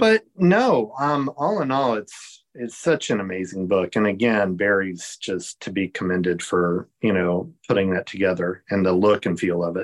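An unremarkable speaking voice from a man with an American accent, fairly low in pitch, with ordinary pitch variation, moderate pace and hardly any pauses, in a dry, close sound with no echo. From Virginia, near Williamsburg. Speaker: theme park collector and fan. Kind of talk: interview.

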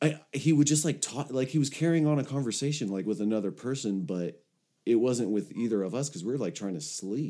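With a Californian accent, a man talks at a fairly quick pace in a dark, mellow tone, his medium pitch carried by lively intonation. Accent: Californian American. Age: 30s. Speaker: recovery podcast host. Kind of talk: casual chat. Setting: video call.

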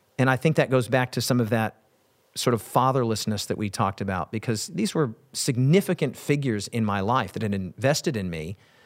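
A plain, everyday voice from a man with an American accent, medium-pitched, on a very clean recording with a silent background. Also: lively intonation, fairly quick pace. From Wyoming, US. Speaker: pastor and preacher. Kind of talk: casual interview conversation.

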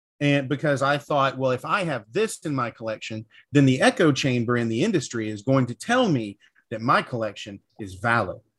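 With an American accent, a man speaks in a plain, everyday voice at a medium pitch, his intonation lively. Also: fairly quick pace. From US South. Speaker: cigar industry professional. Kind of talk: casual chat.

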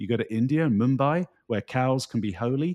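A man with a British accent is heard in a dry, close sound with no echo. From United Kingdom. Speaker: keynote speaker. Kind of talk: casual interview conversation.

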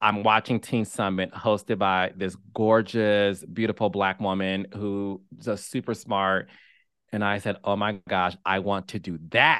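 Against a quiet background, a man with an American accent talks fairly slowly in a fairly low, bright, sharp and animated voice. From Detroit, Michigan. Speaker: TV producer and host. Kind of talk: interview.

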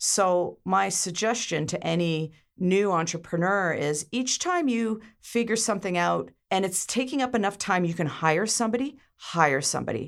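Intonation here is lively, at a moderate pace. The recording is very clean, with a silent background. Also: woman, medium pitch for a woman. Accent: Canadian. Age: 50s. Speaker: media company founder. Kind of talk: interview.

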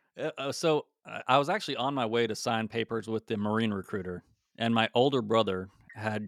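Using a plain, everyday voice, a man with an American accent speaks at medium pitch with fairly even intonation. The very clean recording has a dry, close sound, no echo and a silent background. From Utah, Salt Lake City suburbs. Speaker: air force special reconnaissance airman, podcast co-host. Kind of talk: casual interview chat.

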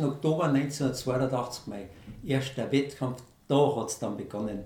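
A man with a Bavarian accent and medium pitch at a very slow pace, with audible room echo and noticeable background noise. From Bavaria, Lower Bavaria (Germany). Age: 60s. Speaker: amateur ultramarathon runner. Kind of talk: interview.

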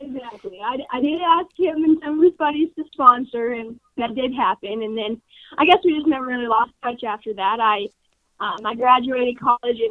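A woman with a high pitch and an American accent speaks with lively intonation. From Colorado. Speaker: rancher and feed sales rep. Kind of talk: casual interview.

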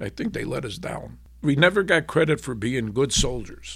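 A man with vocal fry talks at a moderate pace, captured in a very clean recording against a silent background. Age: 70s. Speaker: war veteran. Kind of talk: interview testimony.

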